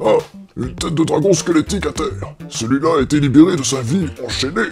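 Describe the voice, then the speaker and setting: A put-on character voice speaks at a middle pitch. Clear music plays in the background. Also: fairly quick pace. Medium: audio drama. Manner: mock-gallant, comically old-fashioned oaths.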